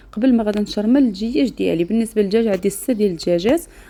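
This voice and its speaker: The tone is dark and mellow. Pitch moves with ordinary variation. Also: woman. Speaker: cooking channel host. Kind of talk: cooking tutorial.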